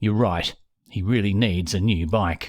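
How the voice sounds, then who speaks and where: In a put-on character voice, a man growls at a fairly low pitch, keeping fairly even intonation and a moderate pace. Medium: read story. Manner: grumbling, absent-minded.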